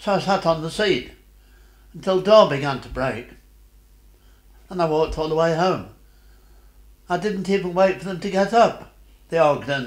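In a quiet background with audible room echo, a man talks at a moderate pace with a high pitch and ordinary pitch variation. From Derbyshire, England. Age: 80s+. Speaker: war veteran. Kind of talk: interview answer. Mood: sad, reflective memory. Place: home room.

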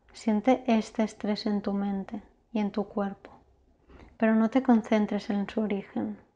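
Somewhat breathy and fairly high in pitch, a woman speaks in a soothing, calm tone. Her delivery is fairly slow and flat, in a monotone. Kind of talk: guided meditation (yoga nidra). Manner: slow, soothing, calm; soft-spoken, gentle, with long pauses.

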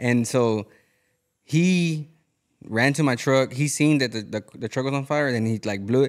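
The speech moves at a moderate pace with ordinary pitch variation, and the background is quiet. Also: man. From Houston, Texas. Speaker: podcast host. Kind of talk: casual chat. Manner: casual, profane. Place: garage. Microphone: studio mic.

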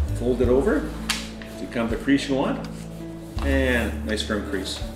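A man talks at a moderate pace as clear music plays in the background. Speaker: paper airplane hobbyist. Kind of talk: hobby demo talk to camera. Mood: calm, friendly. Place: home room. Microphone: camera far.

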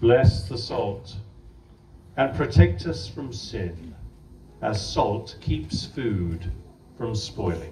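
With an English accent, a man talks at a very slow pace and a fairly low pitch, using lively intonation, big swings in loudness and long, frequent pauses, amid audible room echo and light background noise. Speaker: priest performing blessing. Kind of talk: blessing ritual with call-and-response translation. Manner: fervent, prayerful, heartfelt in the blessing. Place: garden.

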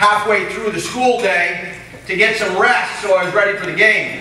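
Over light background noise, a man uses a raised, projected voice, and the room echo is audible. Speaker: speaker. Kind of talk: speech telling a story. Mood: humorous storytelling. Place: hall. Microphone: podium.

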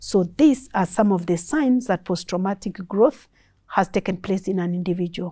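Against a quiet background, a woman speaks at a medium pitch and a moderate pace, her tone dark and mellow. She sounds somewhat breathy, with ordinary pitch variation. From Kenya. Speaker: psychologist; guest. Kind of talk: expert talk. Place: studio.

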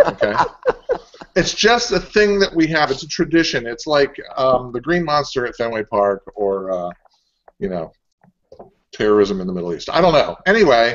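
Pausing long and often, a man speaks at a moderate pace with very wide pitch swings. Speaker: show co-host. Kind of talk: casual chat. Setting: video call. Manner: loud. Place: home room. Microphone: earbuds.

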